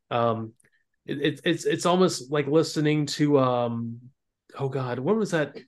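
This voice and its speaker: Over a quiet background, a man with an American accent talks in a plain, everyday voice, fairly high in pitch with ordinary pitch variation. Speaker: podcast host. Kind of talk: casual chat.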